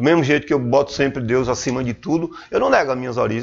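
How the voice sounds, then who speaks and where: A man talks at a very fast pace. Vocal fry runs through his voice. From Sergipe, Brazil. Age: 50s. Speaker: businessman and salesman. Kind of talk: interview. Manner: halting, repeats words.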